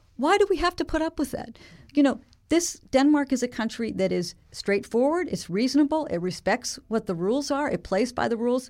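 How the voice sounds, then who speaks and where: On a very clean recording with a silent background, a woman with an American accent talks at a fairly quick pace in a high pitch with very wide pitch swings. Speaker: telecom policy researcher. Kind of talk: interview. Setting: studio.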